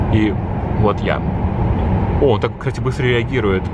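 A man is talking. Loud noise fills the background. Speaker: travel vlogger. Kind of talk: casual vlog chat. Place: train. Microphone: phone near.

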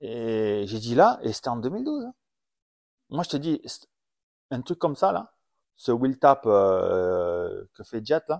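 Recorded very cleanly against a silent background, a man speaks at medium pitch with a dry, close sound and no echo. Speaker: former supercross racer and podcast host. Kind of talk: casual chat. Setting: at home.

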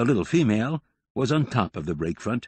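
A quiet background under plain reading aloud

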